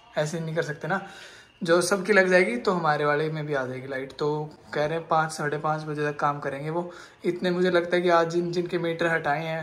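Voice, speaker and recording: In monotone, flat intonation, a man speaks at a high pitch. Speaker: vlogger. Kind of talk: casual vlog chat. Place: home room. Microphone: phone near.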